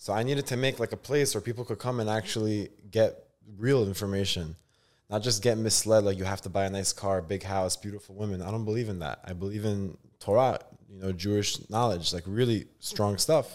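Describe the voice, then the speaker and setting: Over a silent background in a very clean recording, a man with an unremarkable speaking voice talks at a fairly quick pace with ordinary pitch variation. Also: fairly low pitch for a man. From Brooklyn, New York (born in Israel, moved at eight). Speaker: content creator doing street interviews. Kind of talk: casual interview.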